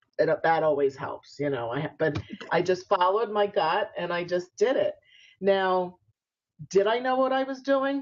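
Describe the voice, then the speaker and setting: A woman with a New York accent speaks at a fairly slow pace, her pitch making very wide swings. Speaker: spiritual entrepreneur and author. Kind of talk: interview. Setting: video call.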